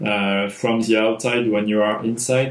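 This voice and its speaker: Audible room echo surrounds a man's voice. He talks at a fairly slow pace with fairly even intonation. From France. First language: French. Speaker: filmmaker and sound designer. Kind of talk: tutorial. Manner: halting, many fillers. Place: home room.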